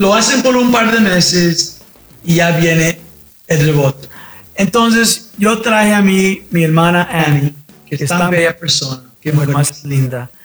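Lively intonation marks this man's high-pitched voice. He speaks at a moderate pace. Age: 60s. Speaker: medical doctor. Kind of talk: casual chat.

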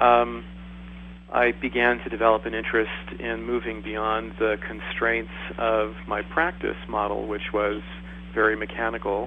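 A man takes a fairly slow pace, with noticeable background noise around him. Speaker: medical doctor. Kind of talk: panel discussion.

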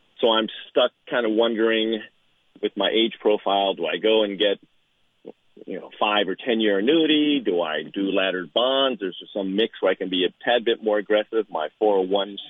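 At a moderate pace, a man speaks in a normal speaking voice with a fairly low pitch and ordinary pitch variation. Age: 60s. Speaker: caller, military retiree. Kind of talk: radio call-in. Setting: phone call.

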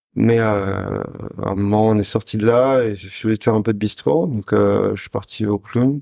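With a plain, everyday voice, a man speaks at a fairly slow pace, his fairly low pitch showing ordinary variation. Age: 20s. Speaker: chef and restaurant co-owner. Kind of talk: casual interview chat.

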